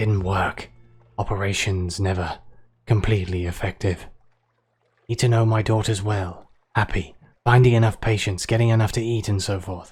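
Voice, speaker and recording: In a put-on character voice, a man speaks fairly low, raspy, hoarse and wheezy, with fairly even intonation at a moderate pace and long, frequent pauses, as faint music plays in the background. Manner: halting.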